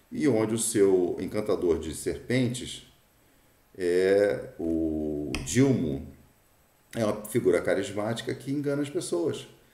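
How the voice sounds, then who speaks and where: At a very slow pace, a man speaks with audible room echo. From Brazil. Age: 60s. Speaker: political commentator. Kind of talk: opinion monologue. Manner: halting, frequent fillers and repetitions.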